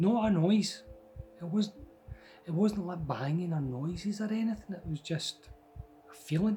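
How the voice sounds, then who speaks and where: A man with a Scottish accent speaks at a moderate pace with long, frequent pauses. His high pitch shows ordinary variation. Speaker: storyteller. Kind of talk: personal ghost story told to camera. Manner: casual, conversational.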